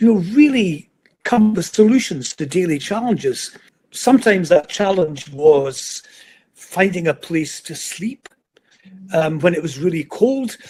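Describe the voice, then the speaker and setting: Pitched high, a man with a Scottish accent talks fairly slowly, his intonation lively and his loudness swinging widely. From Scotland, Edinburgh. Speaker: motivational speaker. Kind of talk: interview, life story.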